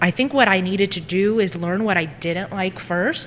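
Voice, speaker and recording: Speaking with a Greek accent, a woman keeps a fairly quick pace. Her pitch is medium. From US, Greek immigrant family. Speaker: social media marketing business owner. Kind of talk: casual interview chat. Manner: animated.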